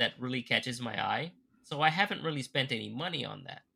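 A man talks at a moderate pace with vocal fry. His tone is bright and sharp. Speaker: podcast co-host. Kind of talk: casual chat.

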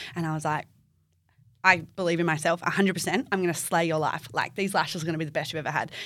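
Recorded very cleanly with a silent background, a woman with an Australian accent speaks at a very fast pace and a fairly low pitch. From Perth, Western Australia. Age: 20s. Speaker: beauty therapist and business owner. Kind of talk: casual interview chat. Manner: animated.

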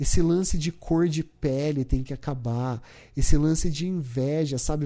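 A man speaks at a fairly slow pace with a fairly high pitch and a dark, mellow tone. His intonation stays fairly even, and the recording is very clean with a silent background. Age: 30s. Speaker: podcast host. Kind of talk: personal monologue podcast. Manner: casual, hesitant with repetitions.

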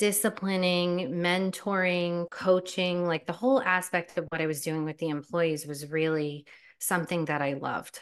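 A woman with an American accent and a normal speaking voice, fairly low in pitch and fairly even in intonation, against a quiet background. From US, New Jersey. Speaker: nurse and life coach. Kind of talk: guided meditation; interview. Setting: podcast recording.

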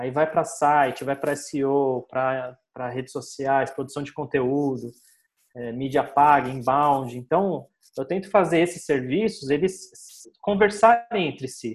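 Speaking at a fairly slow pace, a man with an ordinary speaking voice and a fairly high pitch uses lively intonation. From Brazil, São Paulo. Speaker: digital marketing agency owner. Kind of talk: casual interview chat.

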